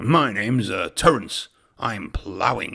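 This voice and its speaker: A man's put-on character voice, growling at medium pitch and a fairly slow pace. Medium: read story. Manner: calm, unhurried.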